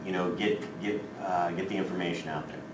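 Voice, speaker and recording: Noticeable background noise and audible room echo surround this recording. A man speaks at a fairly quick pace. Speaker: technology trainer for teachers. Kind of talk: workshop tutorial. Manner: casual, filler-heavy.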